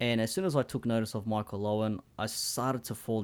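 A man with an Australian accent talks at a fairly quick pace in a fairly low pitch. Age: 30s. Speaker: soccer podcaster, Liverpool fan. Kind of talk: casual chat, remote interview.

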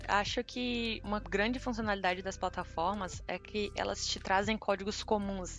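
Over music in the background, a woman talks at a moderate pace with hardly any pauses, her medium-pitched voice keeping a fairly even intonation. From Tocantins, northern Brazil. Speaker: RPA developer. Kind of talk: casual interview.

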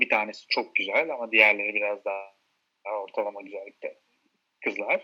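A man at a moderate pace, in a very clean recording with a silent background. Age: 30s. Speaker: friend of host. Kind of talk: casual chat.

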